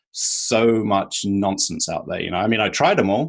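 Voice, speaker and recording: In a British accent, a man talks at a moderate pace with a fairly low pitch. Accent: British accent, noticeable. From UK. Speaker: sleep coach. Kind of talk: interview.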